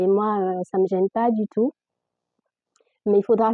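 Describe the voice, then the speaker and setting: Her pitch is medium, and this woman's intonation is fairly even. She speaks at a fairly slow pace. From Guinea (Fula/Peul). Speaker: religious content creator. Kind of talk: casual religious explanation to camera. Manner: hesitant, many filler sounds; difficulty articulating.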